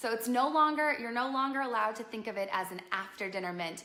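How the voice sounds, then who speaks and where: Bright and sharp, a woman's fairly high voice carries an animated tone and lively intonation. Audible room echo fills the recording. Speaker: business strategist and live show host. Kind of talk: live broadcast business talk. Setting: live stream at home on couch.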